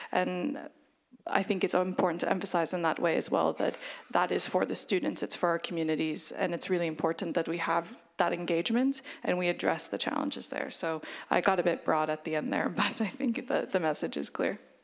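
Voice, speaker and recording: This woman has a normal speaking voice and a fairly low pitch. She talks at a fairly quick pace with lively intonation. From United States. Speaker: university alliance panelist. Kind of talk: panel discussion. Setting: stage with audience.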